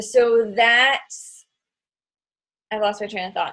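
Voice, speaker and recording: This is a normal speaking voice that moves at a fairly slow pace. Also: woman. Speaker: online fitness coach and team leader. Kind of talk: team training call.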